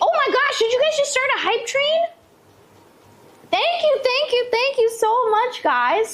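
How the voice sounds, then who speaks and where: Shouting in a put-on character voice with a squeaky, extremely high pitch, a woman speaks at a moderate pace with long, frequent pauses. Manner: yelling excitedly.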